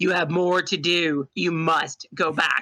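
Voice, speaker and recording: In a booming, put-on character voice at a middle pitch, the speaker goes at a fairly slow pace. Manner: authoritative.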